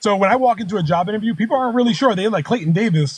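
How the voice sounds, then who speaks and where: An American man with an animated tone talks at a very fast pace with a high pitch and lively intonation. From US Northeast, Philadelphia. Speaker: political debate panelist. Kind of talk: heated debate.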